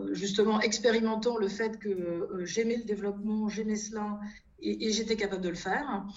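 Over noticeable background noise and audible room echo, a woman speaks with a fairly high pitch and ordinary pitch variation. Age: 50s. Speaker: financial regulation consultancy founder. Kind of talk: interview. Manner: halting, with frequent repetitions and hesitations.

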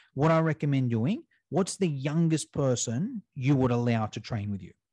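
Lively in intonation and medium in pitch, a man with a dark, mellow tone speaks at a moderate pace, the sound dry and close with no echo against a quiet background. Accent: Australian. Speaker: fitness educator and business owner. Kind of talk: casual interview. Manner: animated.

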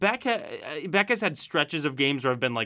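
A man with an American accent, a normal speaking voice, fairly high-pitched and at a fairly quick pace. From Syracuse, Central New York. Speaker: sports podcast panelist. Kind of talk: casual chat.

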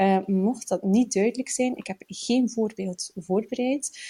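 Her voice is fairly high for a woman, with a dark, mellow tone and fairly even intonation. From Flanders, Belgium (Bruges). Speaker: writing podcast co-host. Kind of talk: casual chat. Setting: at a kitchen table.

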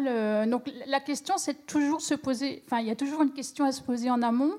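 A woman talks at a moderate pace with ordinary pitch variation. The recording is very clean and the background silent. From France, Champagne region. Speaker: industrial designer. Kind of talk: panel discussion. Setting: stage with audience.

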